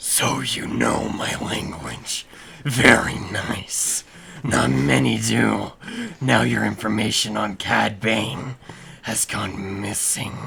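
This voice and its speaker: In a put-on character voice, a man speaks very slowly with a raspy, fairly low pitch. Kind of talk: gruff, menacing.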